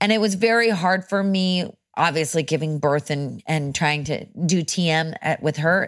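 An unremarkable speaking voice from a woman, fairly low in pitch, at a moderate pace with ordinary pitch variation and very even loudness, in a very clean recording with a silent background. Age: 30s. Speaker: actor and mental health advocate. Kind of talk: casual chat.

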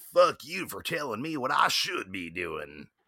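Using a put-on character voice, a man at medium pitch talks at a moderate pace with big swings in loudness. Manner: defiant, cursing.

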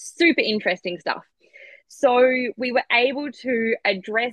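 Fairly slow speech in an Australian accent, with ordinary pitch variation. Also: woman. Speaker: clinical nutritionist. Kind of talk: casual interview chat about personal journey. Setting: video call, remote from Australia.

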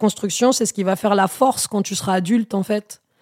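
A woman speaks in a dark, mellow tone. The recording is very clean and dry, close with no echo, and the background is silent. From Normandy countryside, then Melun suburbs. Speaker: stand-up comedian. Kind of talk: casual chat.

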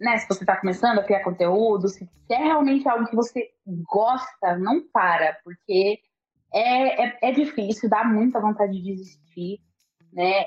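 A woman speaks in a fairly high pitch with a somewhat breathy voice. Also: ordinary pitch variation, fairly slow pace. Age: 20s. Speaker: journalist and content creator. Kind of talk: casual interview chat.

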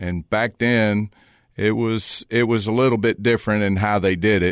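A man in a Southern US accent speaks at a moderate pace with fairly even intonation and a fairly low pitch, the sound dry and close with no echo. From Virginia. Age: 60s. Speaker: business owner and former college football player. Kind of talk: casual interview. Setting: studio.

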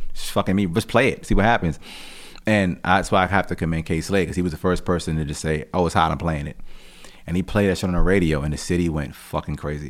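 With an American accent, the speaker goes at a very fast pace and varies pitch in an ordinary way. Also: man, very deep, low pitch for a man. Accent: New York (Queens) hip-hop vernacular. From Jamaica, Queens, New York, Jamaican family. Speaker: rapper. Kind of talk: casual interview.

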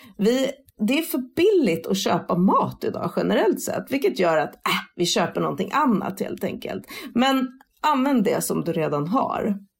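Vocal fry runs through a voice with very wide pitch swings at a moderate pace. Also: woman, fairly high pitch for a woman. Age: 40s. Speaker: sustainability influencer. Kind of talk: interview.

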